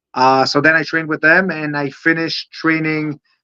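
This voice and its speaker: With an Israeli accent, a man with a fairly high pitch and a bright, sharp tone speaks in a dry, close sound with no echo. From Israel, Holon near Tel Aviv. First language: Hebrew. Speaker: professional wrestler. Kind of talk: interview. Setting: livestream. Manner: halting, many fillers.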